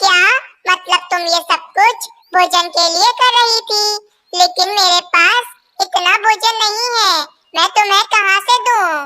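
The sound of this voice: A squeaky, cartoonish character voice, extremely high in pitch and fairly slow in pace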